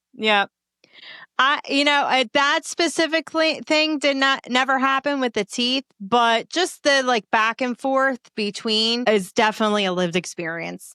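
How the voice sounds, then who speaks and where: A woman with a Philadelphia accent speaks in a high voice. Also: lively intonation, moderate pace. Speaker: comedian and podcaster. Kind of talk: interview answer. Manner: casual, friendly.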